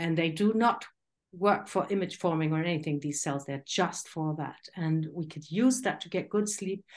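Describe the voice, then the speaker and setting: A woman speaks at a moderate pace in a fairly low pitch with ordinary pitch variation. It is a normal speaking voice, heard over a quiet background. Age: 60s. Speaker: masters weightlifter and health coach. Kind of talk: interview conversation.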